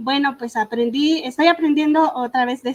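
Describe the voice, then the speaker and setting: The woman's voice shows ordinary pitch variation. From Michoacán, Mexico (Purépecha community, Ahuirán). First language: Purépecha (speaking Spanish). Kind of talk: panel talk. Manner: halting, many fillers.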